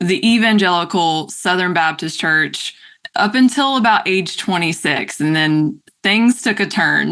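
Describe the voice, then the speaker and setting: A woman with a North Carolina accent speaks in a bright, sharp tone. Her intonation is lively and her loudness very even. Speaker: podcast guest. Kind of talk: casual interview conversation.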